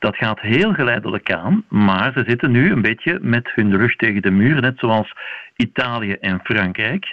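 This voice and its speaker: In an ordinary speaking voice, a man talks at a medium pitch with lively intonation. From Belgium. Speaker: vaccination specialist, university professor. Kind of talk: radio interview.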